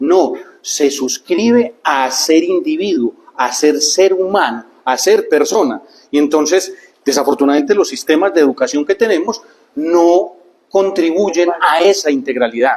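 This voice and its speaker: At a fairly slow pace, a high-pitched man speaks with lively intonation and very even loudness. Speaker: speaker on neuroscience and life planning. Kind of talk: talk to a group.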